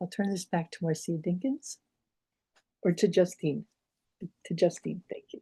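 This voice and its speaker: A woman with an American accent, medium pitch and a dark, mellow, somewhat breathy tone, at a moderate pace with long, frequent pauses, ordinary pitch variation, big swings in loudness and a dry, close sound with no echo. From Pittsburgh, Pennsylvania. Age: 70s. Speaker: doctor and health advocate. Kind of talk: webinar presentation with slides.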